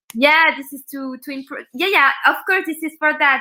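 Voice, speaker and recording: In a French accent, a woman speaks at a fairly quick pace in a raised, projected voice with fairly even intonation. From France. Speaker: startup founder and mentor. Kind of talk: casual interview. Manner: halting.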